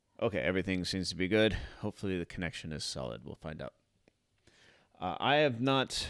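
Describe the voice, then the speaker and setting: A man talks very fast in a very deep, low voice with vocal fry and very wide pitch swings. He takes long, frequent pauses, and the recording is very clean with a silent background. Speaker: vlogger and teacher. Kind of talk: live stream chat. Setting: live stream.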